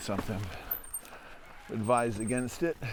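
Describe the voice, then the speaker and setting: A man with an American accent and a plain, everyday voice speaks at a fairly quick pace with medium pitch. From Upper Peninsula of Michigan. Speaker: mountain bike trail reviewer. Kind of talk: ride-along commentary. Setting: outdoors, riding a mountain bike. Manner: casual, conversational.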